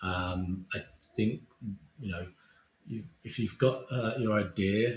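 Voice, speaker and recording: A man speaks with an Essex accent. Noticeable background noise runs behind him. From Essex, England. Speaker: visual effects supervisor. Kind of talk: interview.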